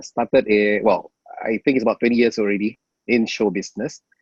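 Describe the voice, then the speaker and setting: The recording of this man is dry and close with no echo, his pitch medium and his pitch variation ordinary. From Singapore. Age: 40s. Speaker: emcee. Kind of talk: casual chat. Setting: video call.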